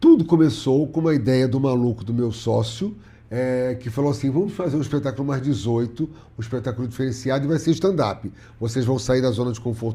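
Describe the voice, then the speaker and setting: A man's somewhat breathy voice, dark and mellow in tone, at medium pitch and a moderate pace with ordinary pitch variation. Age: 60s. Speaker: comedian. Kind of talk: casual interview chat.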